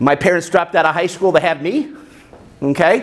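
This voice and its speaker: A man speaks loudly with an American accent and ordinary pitch variation. Noticeable background noise runs behind him. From United States. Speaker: business coach and motivational speaker. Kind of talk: speech to a club meeting.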